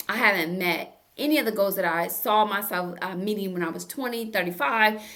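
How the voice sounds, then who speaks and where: Audible room echo surrounds the voice. The delivery keeps a moderate pace. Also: woman. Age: 60s. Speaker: therapist and self-help YouTuber. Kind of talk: motivational self-help talk. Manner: casual, conversational.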